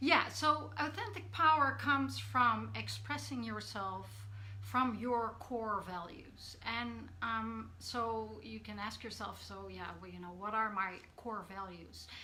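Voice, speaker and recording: A woman talks very slowly with a Dutch accent, her loudness swinging widely. Room echo is audible and background noise is noticeable. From Netherlands. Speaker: coach. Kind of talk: live stream talk. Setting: live video stream. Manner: hesitant, many fillers.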